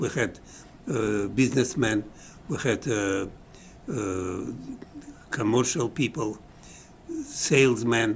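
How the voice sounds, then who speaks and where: A very slow-paced man's voice over noticeable background noise. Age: 80s+. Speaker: museum director. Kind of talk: interview answer.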